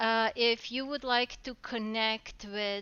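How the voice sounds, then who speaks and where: A woman with a non-native accent speaks very slowly in a fairly high pitch with fairly even intonation. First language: not English. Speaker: talk show host. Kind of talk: live talk show. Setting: live stream.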